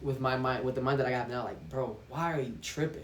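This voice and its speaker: In a room with audible echo, a man talks at a medium pitch with fairly even intonation and a somewhat breathy voice. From Brazil. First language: Portuguese. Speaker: vlogger. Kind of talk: casual monologue vlog. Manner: halting, with restarts.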